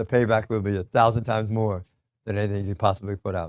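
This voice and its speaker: Here a man talks at a very fast pace. He has an American accent and a fairly low pitch. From US Northeast. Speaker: real estate investor and coach. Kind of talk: motivational talk.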